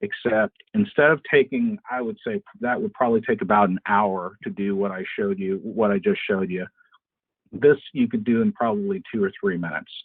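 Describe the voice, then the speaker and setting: At a medium pitch, the man's voice swings very widely up and down. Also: moderate pace. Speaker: webinar presenter on parts sales. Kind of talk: webinar presentation. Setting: online webinar.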